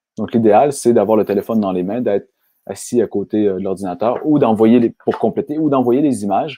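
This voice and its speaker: A man speaks at a fairly quick pace with a Quebec accent. His pitch sits in the medium range and varies in an ordinary way. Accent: Québécois French. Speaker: software company founder. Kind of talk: webinar presentation. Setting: online webinar. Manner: fast.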